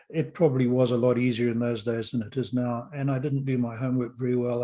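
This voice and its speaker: This man speaks fairly quickly at a medium pitch in a flat monotone. His tone is dark and mellow. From Rhodesia (Zimbabwe), born in London. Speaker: podcast host and author. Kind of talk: interview storytelling.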